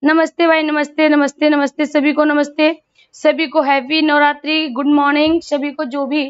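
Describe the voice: Speaking at a moderate pace, a woman uses a high pitch.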